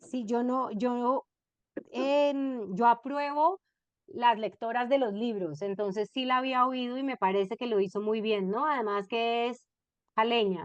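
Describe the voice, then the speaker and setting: Speaking at a fairly slow pace with a Cali accent, a woman uses a high pitch and ordinary pitch variation against a quiet background. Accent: Colombian Cali (caleño) Spanish. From Colombia, Cali. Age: 50s. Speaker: novelist. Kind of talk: book club talk.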